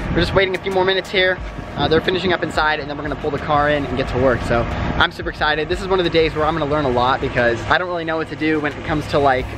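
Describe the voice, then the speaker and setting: A man's very fast speech with hardly any pauses, dry with no echo, over noticeable background noise. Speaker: car vlogger. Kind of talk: casual vlog chat. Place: street. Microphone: phone near.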